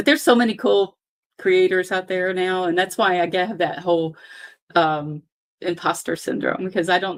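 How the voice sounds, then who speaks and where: A woman with a plain, everyday voice talks at a fairly quick pace in a medium pitch. The recording is very clean, with a silent background. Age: 60s. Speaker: knitting YouTuber. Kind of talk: casual chat. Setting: live stream.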